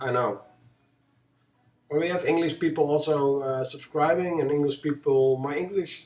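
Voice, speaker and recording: A man with a strong Dutch accent and fairly high pitch, at a moderate pace with long, frequent pauses, music in the background. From Netherlands. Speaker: gaming streamer. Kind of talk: live game commentary. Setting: live stream. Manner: halting.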